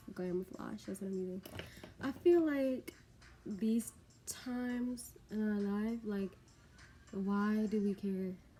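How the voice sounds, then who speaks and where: A woman's medium-pitched voice, very slow, with long, frequent pauses and noticeable background noise. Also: ordinary pitch variation. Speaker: beauty vlogger and bartender. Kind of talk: casual get-ready-with-me vlog.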